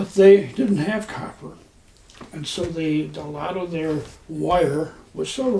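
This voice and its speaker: With noticeable noise behind him, a man talks in an American accent. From Texas. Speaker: war veteran. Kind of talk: interview answer.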